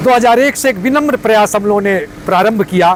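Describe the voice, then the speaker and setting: A high-pitched man talks with ordinary pitch variation over noticeable background noise. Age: 60s. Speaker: NGO founder, retired government employee. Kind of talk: interview. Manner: formal.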